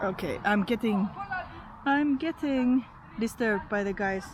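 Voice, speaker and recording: Amid noticeable background noise, a woman speaks at a fairly slow pace with lively intonation and long, frequent pauses. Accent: Finnish. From Finland. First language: Finnish. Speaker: YouTuber. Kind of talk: casual monologue to camera.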